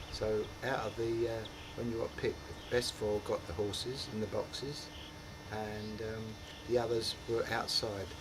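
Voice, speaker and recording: In a Cockney accent, the speaker talks at a moderate pace with monotone, flat intonation, amid noticeable background noise and audible room echo. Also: man. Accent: Cockney London. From London, Dagenham (East London). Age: 70s. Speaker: retired publican and ex-footballer. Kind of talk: oral history interview. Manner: halting.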